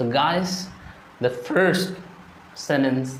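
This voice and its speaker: A man in an Indian accent, with ordinary pitch variation, audible room echo and noticeable background noise. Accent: Indian English (Odia). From India, Odisha. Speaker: English teacher. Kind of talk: tutorial.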